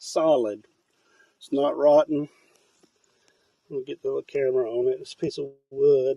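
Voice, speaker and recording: Recorded dry and close with no echo, a man talks at a moderate pace in a relaxed tone, his loudness swinging widely and his speech broken by long, frequent pauses. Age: 60s. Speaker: vlogger. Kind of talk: casual vlog talk to camera. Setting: outdoors, inside a hollow tree.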